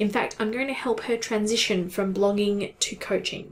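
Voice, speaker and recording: A woman with an Australian accent speaks at a fairly high pitch. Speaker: content marketing consultant. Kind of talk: tutorial. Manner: casual.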